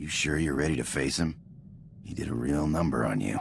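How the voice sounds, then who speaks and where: A man's growling, put-on character voice, very deep and low in pitch, at a fairly quick pace over light background noise. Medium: video game. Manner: gruff, blunt.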